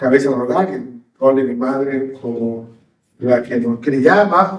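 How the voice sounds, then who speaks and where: Speaking at a very slow pace, a man uses lively intonation and a fairly high pitch. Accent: Yucatecan. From Mexico, Yucatán (Mérida). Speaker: pastor. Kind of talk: sermon.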